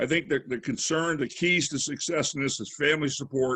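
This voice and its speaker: Against a quiet background, a man speaks at medium pitch with fairly even intonation. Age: 60s. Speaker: cancer survivor, military veteran. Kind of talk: testimony. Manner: halting.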